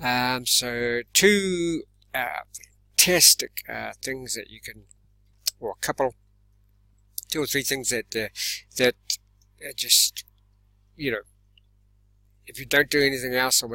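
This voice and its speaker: A man with a medium-pitched voice and a bright, sharp tone speaks at a fairly slow pace, with long, frequent pauses, big swings in loudness, ordinary pitch variation, and a dry, close sound with no echo. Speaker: self-defense instructor and channel host. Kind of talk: casual vlog talk to camera. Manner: halting, many fillers.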